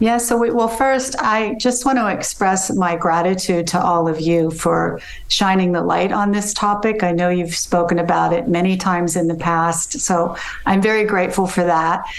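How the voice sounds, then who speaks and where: Very even loudness, ordinary pitch variation and a moderate pace, with an American accent and noticeable background noise. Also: woman, medium pitch for a woman. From US. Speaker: mother of a celebrity, mental health advocate. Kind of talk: radio interview.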